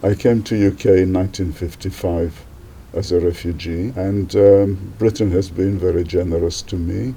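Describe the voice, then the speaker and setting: At a moderate pace, a man talks with a very deep, low pitch, a dark, mellow tone, fairly even intonation, and a somewhat breathy quality. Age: 80s+. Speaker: retired doctor. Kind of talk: interview.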